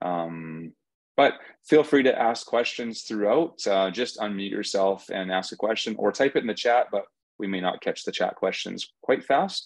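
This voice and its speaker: This man has an ordinary speaking voice, fairly low in pitch, with ordinary pitch variation. He talks at a moderate pace over a quiet background. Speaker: seed company host. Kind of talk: webinar introduction. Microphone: video call.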